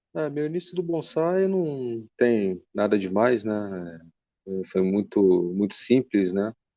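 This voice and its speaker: A man's medium-pitched voice at a very slow pace, with very wide pitch swings. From Rio de Janeiro, Brazil. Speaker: bonsai enthusiast, engineer. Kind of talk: podcast interview.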